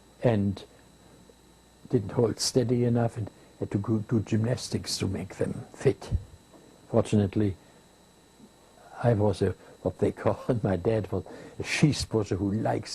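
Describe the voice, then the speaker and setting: This man speaks at a fairly slow pace and fairly low pitch, his dark, mellow tone somewhat breathy, with fairly even intonation and long, frequent pauses. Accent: German. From Germany. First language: German. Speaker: war veteran, former Luftwaffe pilot. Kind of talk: interview answer.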